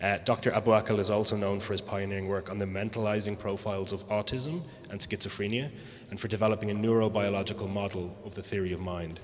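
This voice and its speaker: A man speaks with an Irish accent at a very fast pace. His pitch is fairly low and his intonation fairly even. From Ireland. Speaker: panel moderator. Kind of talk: event introduction. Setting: live event with audience.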